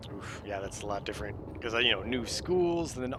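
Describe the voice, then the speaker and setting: A man with an American accent at medium pitch, lively intonation and audible room echo. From US Southwest (Arizona). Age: 40s. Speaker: video game streamer. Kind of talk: casual chat.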